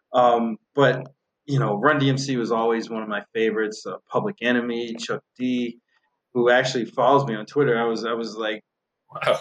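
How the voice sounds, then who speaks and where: An unremarkable speaking voice from a man, medium in pitch and fairly even in intonation, with a dry, close sound and no echo. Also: moderate pace. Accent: American. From north of Boston, Massachusetts. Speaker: horse racing handicapper and podcast host. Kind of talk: casual interview chat.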